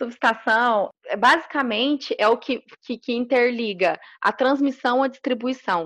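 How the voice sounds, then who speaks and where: A woman's high voice at a fairly slow pace with ordinary pitch variation, dry and close with no echo, over a quiet background. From Minas Gerais, Brazil. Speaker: electrical engineer. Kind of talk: interview.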